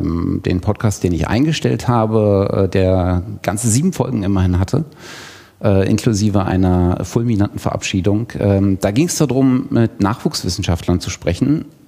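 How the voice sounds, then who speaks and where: Over noticeable background noise, a man speaks fairly slowly in a fairly low voice with ordinary pitch variation. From Thuringia, Germany. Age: 30s. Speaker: podcaster and e-learning designer. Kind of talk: self-introduction at workshop. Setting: workshop room with live audience.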